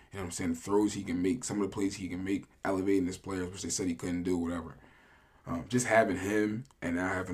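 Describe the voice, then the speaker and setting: Fairly quick, fairly evenly intoned speech from a man with a very deep, low pitch. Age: 20s. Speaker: sports podcast co-host. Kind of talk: casual chat.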